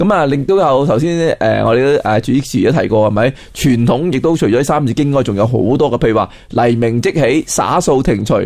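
A man's medium-pitched voice at a moderate pace, with ordinary pitch variation and very even loudness. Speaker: Chinese culture scholar. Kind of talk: educational radio interview. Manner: halting, many fillers.

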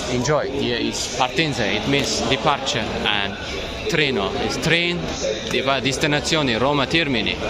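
A man speaks with ordinary pitch variation. Loud background noise runs behind him. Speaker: travel vlogger. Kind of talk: casual vlog chat. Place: station. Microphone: phone near.

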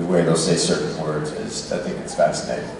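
A man's voice amid strong room echo and noticeable background noise. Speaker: guest. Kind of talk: Q&A answer to fans. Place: stage. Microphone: pa.

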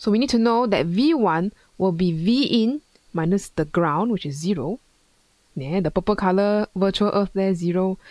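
Lively intonation marks a woman speaking at a moderate pace, with a quiet background and dry sound with no echo. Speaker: physics tutor. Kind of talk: tutorial. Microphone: headset.

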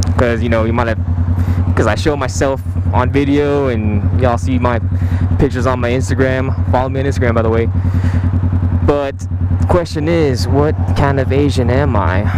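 Against loud background noise, a man with an American accent talks at a moderate pace, the sound dry with no echo. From San Francisco Bay Area, California. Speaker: motorcycle vlogger. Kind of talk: casual vlog. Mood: relaxed, startled once. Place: motorbike. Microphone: helmet.

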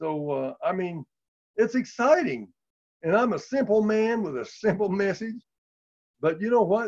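Against a quiet background, a man with a high pitch speaks at a moderate pace, using lively intonation and long, frequent pauses. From US Midwest. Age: 70s. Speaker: lay healing minister and former car salesman; lay healing minister, former car salesman. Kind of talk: testimony. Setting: video call. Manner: animated. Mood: enthusiastic, warm. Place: home room. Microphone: video call.

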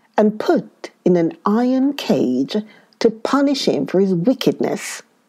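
The delivery is plain reading aloud with lively intonation.

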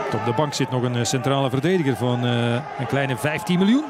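Against noticeable background noise, a man with a fairly high pitch and lively intonation talks at a moderate pace. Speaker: football commentator. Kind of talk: live football match commentary.

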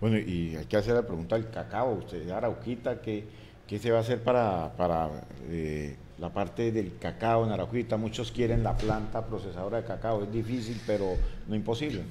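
A dark, mellow tone with vocal fry moves at a moderate pace, with ordinary pitch variation over light background noise. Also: man, fairly low pitch for a man. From Colombia. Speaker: radio news host. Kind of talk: interview. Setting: studio. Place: studio. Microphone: studio mic.

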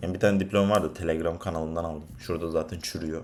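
A man talks at a very fast pace. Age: 20s. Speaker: freelance data scientist and vlogger. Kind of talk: casual vlog monologue. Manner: animated, conversational.

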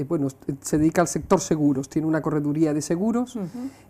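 This woman's voice has a dark, mellow tone. Her pitch varies in an ordinary way. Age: 50s. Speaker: local politician. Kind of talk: interview. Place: studio. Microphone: lapel.

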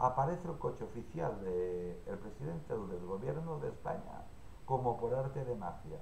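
A man at a fairly slow pace. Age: 60s. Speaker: YouTuber commenting on news. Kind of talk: solo vlog commentary. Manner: halting.

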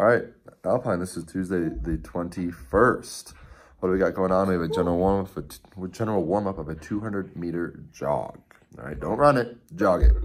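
A man speaks at a moderate pace in a very deep, low pitch. His intonation is lively, with vocal fry. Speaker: CrossFit coach. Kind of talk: workout briefing. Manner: casual, many filler words. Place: home room. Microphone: phone near.

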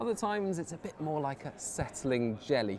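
A man speaks with lively intonation at a moderate pace, with light background noise behind him. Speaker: presenter. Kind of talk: explainer to camera. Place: cafe.

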